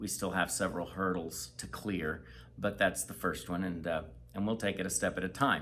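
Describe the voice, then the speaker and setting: Bright, sharp tone from a man with a very deep, low pitch, vocal fry, ordinary pitch variation and a moderate pace. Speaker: missionary. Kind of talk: casual chat.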